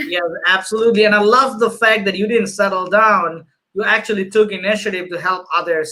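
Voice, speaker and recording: A man's raised, projected voice, high-pitched, bright and sharp, at a fairly quick pace. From Bangladesh. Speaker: show host. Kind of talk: interview. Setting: video call.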